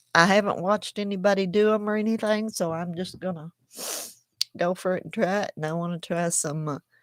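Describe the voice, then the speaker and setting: A woman with a strong Southern US accent talks with fairly even intonation, leaving long, frequent pauses. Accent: strong Southern country. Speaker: crochet YouTuber. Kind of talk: casual chat. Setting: livestream at home. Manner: slow, drawling.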